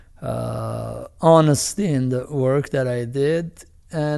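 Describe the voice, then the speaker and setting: Dark and mellow in tone, a man speaks at a medium pitch with fairly even intonation. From Iran. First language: Armenian or Farsi. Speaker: film director and producer. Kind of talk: interview. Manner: halting, many fillers.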